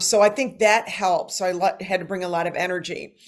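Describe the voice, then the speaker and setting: A woman with an ordinary speaking voice and an American accent talks at a moderate pace with ordinary pitch variation, in a very clean recording with a silent background. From Detroit, US Midwest. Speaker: voice actor and panel moderator. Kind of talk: panel discussion.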